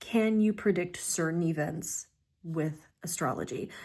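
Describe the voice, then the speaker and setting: A woman with a normal speaking voice, fairly low in pitch and with ordinary pitch variation, is captured in a very clean recording against a silent background. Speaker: astrologer and tarot reader. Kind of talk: casual q&a vlog.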